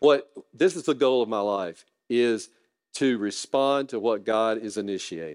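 With a Southern US accent, a man at a medium pitch speaks at a fairly slow pace with lively intonation over a quiet background. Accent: Southern US (Georgia). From US South, North Georgia. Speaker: guest preacher, lawyer. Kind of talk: sermon.

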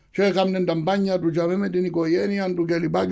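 The man's voice is high yet dark and mellow in tone. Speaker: football supporters' group leader. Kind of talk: interview.

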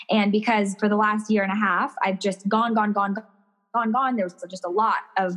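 A woman's energetic, bubbly tone at medium pitch. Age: 30s. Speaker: personal stylist. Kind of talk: casual interview chat.

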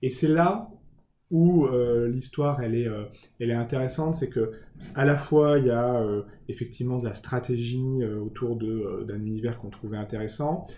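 With a dark, mellow tone and a somewhat breathy quality, a man talks at a moderate pace, his medium pitch showing ordinary pitch variation. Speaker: communications director. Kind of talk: interview. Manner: halting.

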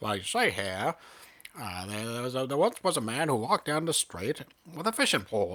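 In a put-on character voice, a man drawls in a strong Maine accent as part of the act. His pitch is medium and his pace moderate. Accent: thick Maine. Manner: over the top, drawling.

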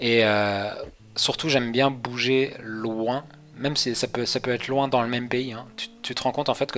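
A man's flat, monotone delivery over noticeable background noise. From western France, near Angers. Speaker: traveller recounting a world trip. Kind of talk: casual interview chat. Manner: hesitant, many repetitions and fillers.

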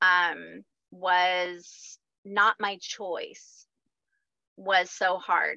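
A woman at a medium pitch speaks in a flat monotone with an American accent, her bright, sharp tone heard dry and close with no echo. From rural Missouri, US Midwest. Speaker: holistic health practitioner and life coach. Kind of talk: casual interview.

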